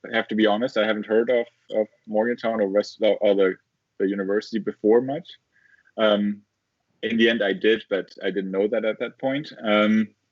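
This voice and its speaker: A man at a moderate pace, medium in pitch, with ordinary pitch variation. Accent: German. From southern Germany. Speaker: engineering professor. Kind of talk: interview. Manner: halting, many fillers and repeats.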